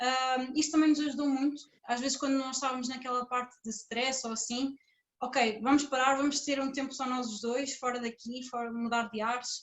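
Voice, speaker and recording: A woman speaks at a moderate pace in a high pitch, her intonation flat and monotone. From Portugal. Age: 20s. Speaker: conference speaker, PhD student. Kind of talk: conference talk as a couple.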